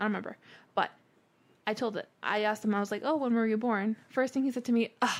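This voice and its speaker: A woman has a plain, everyday voice with a fairly high pitch. She talks at a fairly quick pace with ordinary pitch variation. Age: 20s. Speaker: podcast co-host. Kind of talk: casual chat. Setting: studio.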